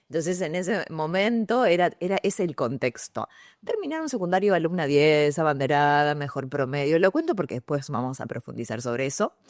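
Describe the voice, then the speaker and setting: A woman with a Rioplatense accent speaks at a fairly quick pace in a very deep, low voice, her intonation lively and the sound dry and close with no echo. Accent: Argentine Rioplatense Spanish. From Argentina, San Pedro, Buenos Aires province. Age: 40s. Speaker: journalist, radio announcer and communication coach. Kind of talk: podcast interview.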